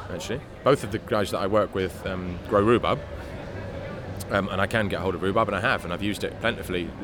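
A man talks at a very fast pace in a London accent. His pitch is fairly low, and there is noticeable background noise. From London, Hackney. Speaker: chef. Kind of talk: interview. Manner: halting.

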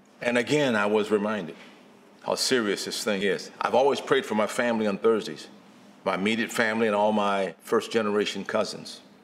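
Audible room echo surrounds a man with a fairly low pitch who talks at a fairly quick pace with fairly even intonation. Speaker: guest preacher. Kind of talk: sermon.

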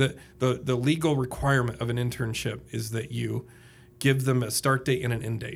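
In an Indiana accent, a man speaks at medium pitch with a somewhat breathy voice and fairly even intonation. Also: moderate pace. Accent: Hoosier Indiana. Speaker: public speaker and podcaster. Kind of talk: casual interview chat.

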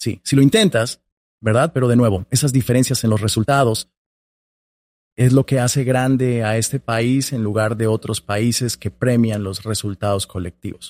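Heard in a very clean recording with a silent background, a man with an unremarkable speaking voice at a medium pitch talks at a moderate pace with ordinary pitch variation. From Colombia, small town. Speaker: public affairs director at a nonprofit. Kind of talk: interview conversation.

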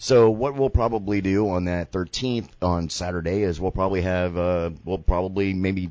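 A man speaks in a very deep, low voice with ordinary pitch variation and hardly any pauses. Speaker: radio host. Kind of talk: casual chat. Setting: studio. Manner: animated.

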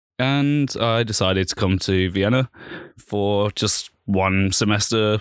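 A man with a Birmingham accent, fairly low pitch and fairly even intonation, in dry, close sound with no echo. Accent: Birmingham English (Brummie). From Birmingham, England. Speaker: vintage clothing store manager. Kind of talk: casual chat. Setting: studio.

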